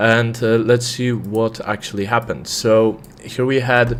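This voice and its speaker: A fairly slow-paced man with a non-native accent and a medium pitch. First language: not English. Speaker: trader. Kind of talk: live trading stream commentary. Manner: many fillers and hesitations.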